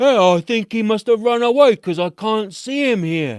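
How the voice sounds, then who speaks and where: A man puts on a character voice with a high pitch at a moderate pace. The recording is very clean, the background silent. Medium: game stream.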